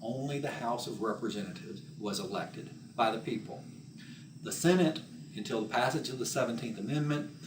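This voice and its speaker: With an American accent, a man talks fairly quickly at a medium pitch with lively intonation, over noticeable background noise and audible room echo. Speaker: teacher. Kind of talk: lecture.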